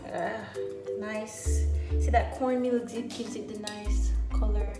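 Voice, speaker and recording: Clear music plays behind a woman as she talks. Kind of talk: cooking tutorial. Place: kitchen. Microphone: camera far.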